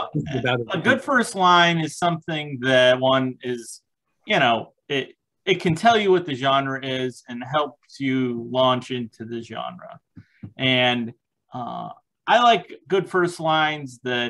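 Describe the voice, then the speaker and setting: A man talks at a very slow pace with ordinary pitch variation over a quiet background. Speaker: podcast guest. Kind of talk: panel discussion answer. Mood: relaxed, self-deprecating. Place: home room. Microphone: video call.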